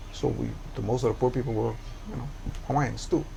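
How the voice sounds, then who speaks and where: A man's somewhat breathy voice comes with audible room echo. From Hawaii, Oahu (Kalihi). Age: 70s. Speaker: community activist. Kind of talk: interview.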